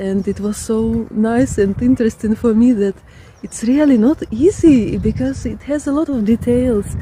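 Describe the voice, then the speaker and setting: A woman with a Ukrainian accent speaks at a fairly slow pace over noticeable background noise. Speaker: artist and vlogger. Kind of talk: casual vlog talk. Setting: outdoors in a park. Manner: halting, with many fillers.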